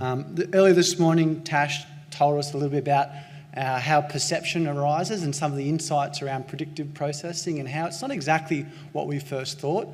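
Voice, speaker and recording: Speaking at a fairly quick pace with a strong Australian accent, a man with a fairly high-pitched voice is heard amid audible room echo. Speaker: pain researcher. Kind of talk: conference lecture. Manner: excitable.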